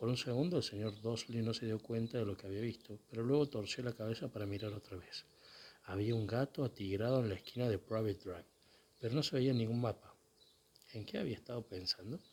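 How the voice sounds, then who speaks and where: Soft-spoken and somewhat breathy, a man speaks at a fairly quick pace with a medium pitch and ordinary pitch variation. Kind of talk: read story.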